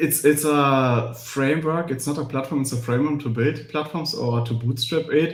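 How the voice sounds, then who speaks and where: Hardly pausing, a man with a German accent speaks at a fairly high pitch with fairly even intonation, and audible room echo surrounds him. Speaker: cloud platform engineer and author. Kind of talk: live webinar Q&A. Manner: fast.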